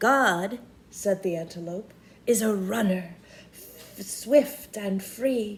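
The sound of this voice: The pitch varies in an ordinary way across this unforced reading voice.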